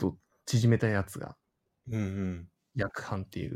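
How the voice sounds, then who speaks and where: Here a man speaks at a fairly slow pace. His tone is dark and mellow. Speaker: Android engineer. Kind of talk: casual chat.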